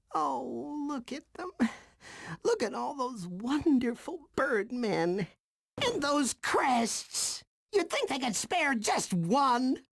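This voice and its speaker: A man puts on a cartoonish character voice at an extremely high pitch. He speaks at a very slow pace. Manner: excitable, gloating.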